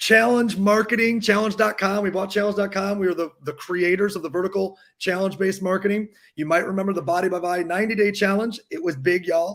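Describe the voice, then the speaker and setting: Talking at a very fast pace with an American accent, a man keeps his high voice in fairly even intonation. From Michigan. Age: 40s. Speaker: entrepreneur and live show host. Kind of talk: live interview show.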